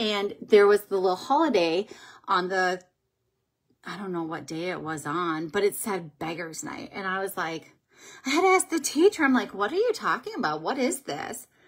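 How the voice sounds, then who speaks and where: Against a quiet background, a woman with an American accent speaks with very wide pitch swings. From Minnesota. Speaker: beauty vlogger and makeup seller; beauty vlogger, makeup seller. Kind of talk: casual livestream makeup tutorial. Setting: live video stream at home. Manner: chatty, with frequent um fillers. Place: home room. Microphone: phone near.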